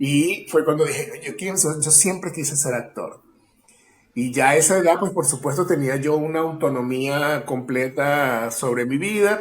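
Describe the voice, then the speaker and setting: In an unremarkable speaking voice, a man with a fairly high pitch talks at a fairly slow pace with ordinary pitch variation. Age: 40s. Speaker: actor and acting teacher. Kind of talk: casual interview chat.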